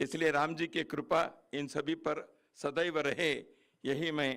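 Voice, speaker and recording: A man's voice, fairly high in pitch. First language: Kannada (speaking Hindi). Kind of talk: speech at book launch. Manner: formal.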